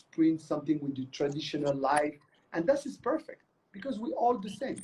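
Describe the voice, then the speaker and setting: A man's lively intonation at a moderate pace. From Morocco. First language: Moroccan Arabic. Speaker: choreographer and artistic director. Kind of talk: interview. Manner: animated; halting.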